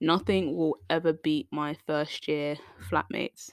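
A woman with a British accent speaks at a very deep, low pitch. Her intonation is fairly even, and the sound is dry and close with no echo. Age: 20s. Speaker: podcast host. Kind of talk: casual monologue.

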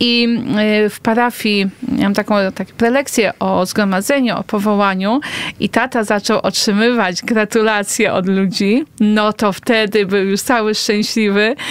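In an unremarkable speaking voice, a woman with a fairly high pitch talks at a fairly slow pace with fairly even intonation. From Poland, Toruń area. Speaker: nun. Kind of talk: casual interview chat. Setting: radio studio.

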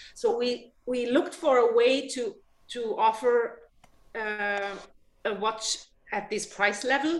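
A high-pitched woman with a German accent, very slow in pace, with ordinary pitch variation. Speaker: watch company sales executive. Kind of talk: casual interview. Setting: remote video call. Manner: halting, many repetitions and fillers.

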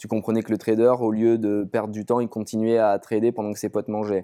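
The voice has a dark, mellow tone and moves at a fairly quick pace. The recording is very clean, with a silent background. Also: man. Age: 30s. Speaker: startup founder. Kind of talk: interview.

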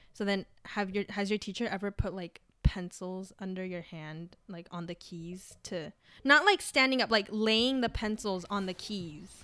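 At a fairly slow pace, a woman speaks in an unremarkable speaking voice, medium in pitch with ordinary variation. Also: big swings in loudness. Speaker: podcast host. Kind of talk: casual chat. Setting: video call.

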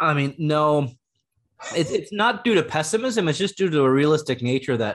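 An unremarkable speaking voice moves at a moderate pace with lively intonation and very even loudness. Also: man, fairly high pitch for a man. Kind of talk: casual chat.

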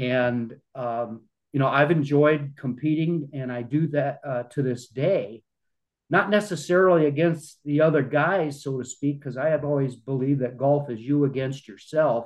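Here a man speaks with a Midwestern American accent at a moderate pace. His pitch is fairly high, with ordinary variation. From US Midwest, small-town Iowa. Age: 60s. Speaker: retired journalist and amateur golfer. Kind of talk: interview conversation.

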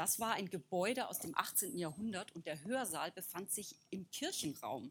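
An unremarkable speaking voice from a woman, medium in pitch, with lively intonation and a fairly slow pace. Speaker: artist. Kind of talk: talk.

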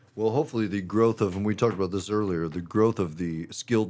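A man talks at a fairly quick pace with an American accent, his pitch fairly low, in an ordinary speaking voice. The recording is very clean, with a silent background. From Missouri, US Midwest. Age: 40s. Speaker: construction business owner. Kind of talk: casual chat.

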